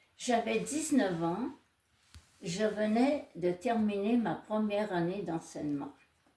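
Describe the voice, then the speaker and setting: Very slowly, a woman speaks in a fairly high pitch with a dark, mellow, somewhat breathy tone and lively intonation. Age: 80s+. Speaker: nun. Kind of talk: testimony.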